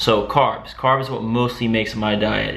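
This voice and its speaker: Noticeable background noise runs behind a man talking at a middling tempo. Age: 20s. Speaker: fitness vlogger. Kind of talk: casual talk to camera.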